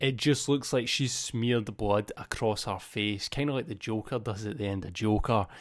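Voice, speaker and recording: This man, with a Scottish accent, has a medium pitch and ordinary pitch variation on a very clean recording with a silent background. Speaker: movie news youtuber. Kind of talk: casual video commentary. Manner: casual, off the cuff.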